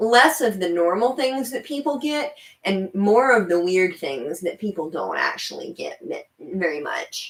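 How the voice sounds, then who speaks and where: A woman speaks loudly at a very slow pace. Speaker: livestream host. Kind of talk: casual live chat reading comments. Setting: solo livestream. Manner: chatty, rambling with fillers.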